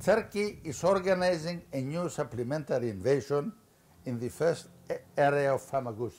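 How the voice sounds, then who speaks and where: A man with a Greek accent, at a moderate pace, fairly high in pitch, his intonation lively. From Cyprus. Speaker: former politician. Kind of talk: lecture. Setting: stage with audience. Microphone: podium.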